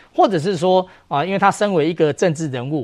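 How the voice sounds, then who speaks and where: A man talks at a fairly quick pace in a plain, everyday voice, with a fairly high pitch. His pitch variation is ordinary, and the background is quiet. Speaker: legislator. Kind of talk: TV political talk show panel.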